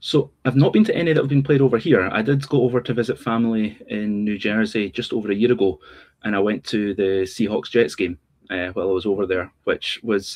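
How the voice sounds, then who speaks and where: A man with a Scottish accent talks at a fairly quick pace. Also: medium pitch for a man, ordinary pitch variation. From Scotland. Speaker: sports journalist and podcaster. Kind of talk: casual chat.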